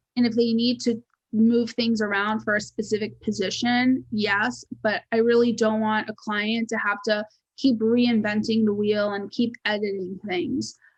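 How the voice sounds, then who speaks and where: This woman talks fairly slowly, her voice somewhat breathy. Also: fairly high pitch for a woman, fairly even intonation. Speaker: resume writer and personal brand strategist. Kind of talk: webinar presentation. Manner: occasionally fumbling over words.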